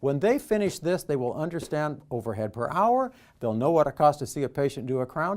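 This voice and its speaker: A man's fairly high voice with an American accent, very wide pitch swings and a fairly quick pace, with music in the background. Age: 70s. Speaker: dental business coach. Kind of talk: sales pitch.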